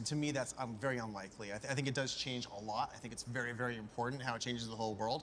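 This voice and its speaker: A man with a medium-pitched voice speaks very fast in fairly even intonation over noticeable background noise. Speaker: investor. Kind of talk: interview.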